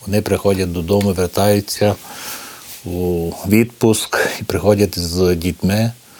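Flat, monotone intonation is heard over noticeable background noise. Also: man, very deep, low pitch for a man. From Romania, Maramureș, Hutsul Ukrainian village. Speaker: cultural centre director and foundation head. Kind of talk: interview testimony. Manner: halting, many hesitations.

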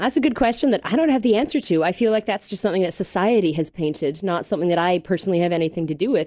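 Over a quiet background, a woman speaks with a fairly low pitch and a dark, mellow tone. Her intonation is lively. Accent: Canadian. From Canada, Mississauga near Toronto. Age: 30s. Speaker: podcast guest. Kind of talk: casual interview. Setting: studio.

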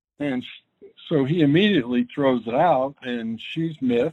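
A man speaks in an ordinary speaking voice. His pitch sits fairly high, and his intonation is lively. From northern US (Detroit, Ohio, Pittsburgh, Long Island). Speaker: mental health advocate and podcaster. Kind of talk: interview.

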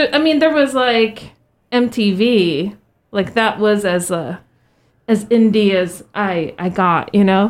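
Delivery comes at a very slow pace with lively intonation. The recording is very clean with a silent background. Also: woman, medium pitch for a woman. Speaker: radio host. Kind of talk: casual radio hosting. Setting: radio studio. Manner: friendly, warm, giggly.

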